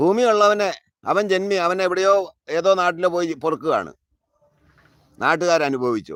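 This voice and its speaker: High male pitch with ordinary pitch variation. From Kerala, south of Ernakulam. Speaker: farming channel host. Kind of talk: live-stream monologue. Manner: animated.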